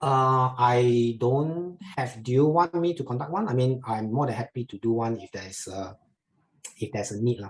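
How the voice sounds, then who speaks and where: A man of medium pitch sounds somewhat breathy, with ordinary pitch variation and big swings in loudness. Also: moderate pace. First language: Chinese. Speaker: investment educator. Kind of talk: webinar Q&A. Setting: online webinar. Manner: halting, many fillers.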